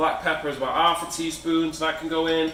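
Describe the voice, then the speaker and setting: With a British accent and a high pitch, the man speaks amid audible room echo and noticeable background noise. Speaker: home cook. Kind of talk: cooking tutorial. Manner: casual.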